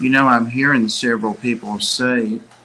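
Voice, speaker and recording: Here a man mumbles. He keeps a moderate pace. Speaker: fish hobby livestream host. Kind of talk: casual chat. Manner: mumbling.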